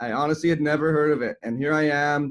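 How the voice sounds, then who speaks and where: A man with a Canadian accent and a fairly high pitch at a fairly quick pace, in a dry, close sound with no echo. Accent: Canadian, noticeable. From Canada, Toronto. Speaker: chiropractor and health coach. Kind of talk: podcast interview.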